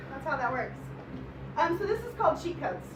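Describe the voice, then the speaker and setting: There is noticeable background noise and audible room echo as a woman talks. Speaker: poet. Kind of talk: poetry reading. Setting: stage with audience. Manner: fast.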